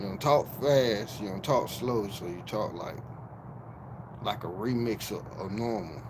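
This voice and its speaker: Audible room echo surrounds a man talking at a fairly slow pace. His loudness swings widely. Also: fairly low pitch for a man, ordinary pitch variation. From Miami, Florida. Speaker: YouTube live streamer. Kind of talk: livestream call-out rant. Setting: livestream.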